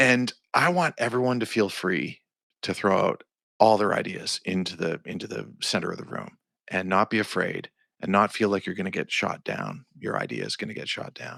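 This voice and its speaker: Recorded very cleanly against a silent background, a man talks at a moderate pace with a fairly low pitch, vocal fry and a bright, sharp tone. The sound is dry and close with no echo, and his pitch varies in an ordinary way. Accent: Canadian. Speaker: songwriter and producer. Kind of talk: podcast interview.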